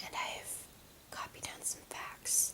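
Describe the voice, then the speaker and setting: The speaker whispers fairly slowly. Background noise is noticeable throughout. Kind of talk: ASMR whispered fact reading. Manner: whispered.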